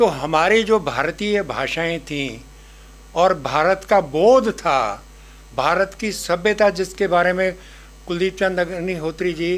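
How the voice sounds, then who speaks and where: With ordinary pitch variation, this man's voice sits high for a man. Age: 80s+. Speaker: professor. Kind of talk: speech at a book launch.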